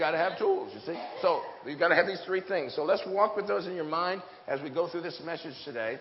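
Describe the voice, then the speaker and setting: An animated man with a high pitch and ordinary pitch variation, over noticeable background noise. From US Pacific Northwest. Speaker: preacher. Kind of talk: sermon. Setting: church with audience. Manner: humorous.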